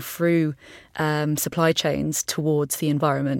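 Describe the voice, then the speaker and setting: A woman with a southern English accent speaks in a very deep, low voice and a flat monotone, on a very clean recording with a silent background. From England, East Sussex. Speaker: climate and environment lead, scientist. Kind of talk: casual chat. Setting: studio.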